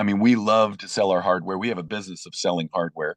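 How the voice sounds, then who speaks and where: A man's normal speaking voice, fairly low in pitch, with fairly even intonation and a quiet background. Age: 60s. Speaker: treehouse builder and TV personality. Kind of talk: interview. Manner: conversational with many fillers and restarts.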